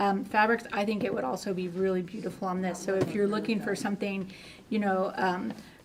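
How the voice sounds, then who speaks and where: A woman with an American accent speaks with fairly even intonation over noticeable background noise. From West Texas (Lubbock). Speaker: cross stitch shop staff. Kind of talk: casual chat.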